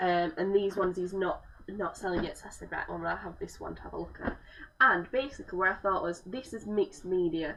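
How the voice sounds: A woman speaks at a fairly quick pace with a fairly bright tone, vocal fry and ordinary pitch variation. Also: fairly low pitch for a woman.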